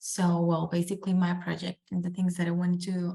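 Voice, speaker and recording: A somewhat breathy, dark and mellow female voice at a fairly low pitch and moderate pace. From Colombia, Medellin. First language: Spanish. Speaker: student. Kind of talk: class self-introduction. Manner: soft-spoken; hesitant, many fillers.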